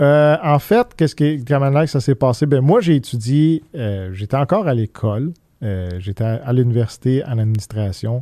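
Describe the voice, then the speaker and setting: Against a quiet background, a man with a medium pitch and a dark, mellow tone speaks at a moderate pace with lively intonation, the sound dry and close with no echo. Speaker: business owner. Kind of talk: interview. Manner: halting.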